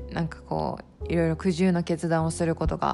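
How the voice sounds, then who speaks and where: A relaxed tone at a moderate pace, with music in the background. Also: woman. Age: 30s. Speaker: podcast host. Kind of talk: casual solo talk.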